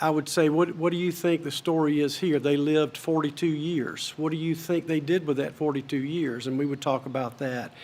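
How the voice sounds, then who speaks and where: The speaker has an ordinary speaking voice and moves at a fairly quick pace with hardly any pauses. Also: man, fairly high pitch for a man, fairly even intonation. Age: 60s. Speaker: commencement speaker. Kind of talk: commencement speech. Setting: stage with audience.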